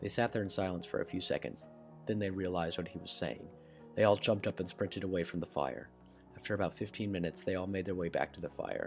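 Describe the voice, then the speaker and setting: With music in the background, a man speaks at a very deep, low pitch with ordinary pitch variation. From Arkansas. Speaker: story narrator. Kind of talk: reading aloud. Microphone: poor mic quality, not usual mic.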